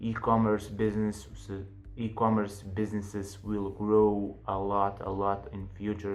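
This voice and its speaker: A man's fairly low, flat, monotone voice with a non-native accent at a fairly slow pace, with audible room echo. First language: not English. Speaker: online business youtuber. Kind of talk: casual tutorial to camera. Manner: halting, with fillers.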